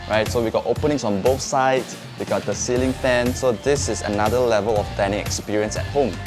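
Clear music plays in the background. A man speaks at a fairly quick pace with ordinary pitch variation. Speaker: property tour host. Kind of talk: property walkthrough presentation. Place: home room.

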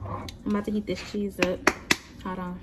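Loud background noise dominates the clip. Through it, a woman talks. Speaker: vlogger. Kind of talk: casual vlog chat. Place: kitchen. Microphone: phone near.

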